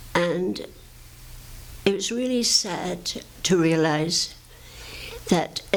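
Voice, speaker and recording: A woman with an English accent speaks with a fairly low pitch. Her pitch variation is ordinary. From England. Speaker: advocate for the homeless. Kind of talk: oral history talk to audience.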